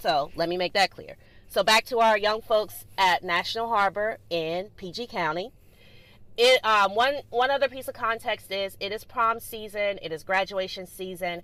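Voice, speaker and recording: A woman's animated, bright, sharp voice in a Southern US accent, medium pitch with ordinary variation, moderate pace and big swings in loudness, on a very clean recording with a silent background. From US South, Greensboro, North Carolina. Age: 30s. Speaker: podcast host. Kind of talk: solo podcast monologue.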